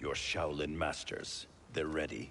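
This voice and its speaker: Over clear background noise, a man does a raspy put-on character voice at a very deep, low pitch and a fairly slow pace. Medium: video game. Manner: guarded, stern.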